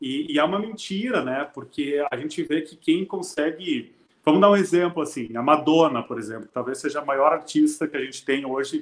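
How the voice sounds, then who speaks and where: A man speaks in a plain, everyday voice at a fairly high pitch. He keeps a moderate pace with hardly any pauses and ordinary pitch variation. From southern Brazil, Rio Grande do Sul interior. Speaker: music teacher and music school owner. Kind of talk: casual interview chat. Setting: live stream.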